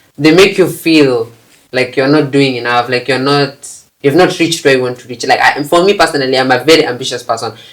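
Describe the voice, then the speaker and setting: Animated and very fast, a man talks at a fairly high pitch with ordinary pitch variation and big swings in loudness. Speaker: climate activist. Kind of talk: podcast interview.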